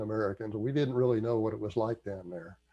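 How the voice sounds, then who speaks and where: This man's voice has a dark, mellow tone. His pitch varies in an ordinary way. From US South. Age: 70s. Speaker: history commentator. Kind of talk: casual talk. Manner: halting.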